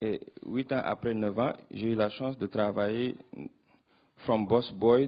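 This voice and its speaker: A man's medium-pitched voice in a non-native accent, fairly slow, with monotone, flat intonation. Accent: non-native French, rusty. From Senegal. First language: Wolof (speaking French). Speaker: youth political organizer. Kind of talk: panel discussion answer. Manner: halting, many hesitations.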